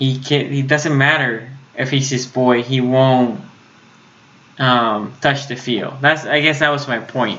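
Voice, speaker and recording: With a Puerto Rican accent, a man speaks fairly slowly at a medium pitch and fairly even intonation amid audible room echo. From Puerto Rico. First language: Spanish. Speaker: sports YouTuber. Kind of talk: live stream commentary. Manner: halting at times, gets stuck; casual, conversational.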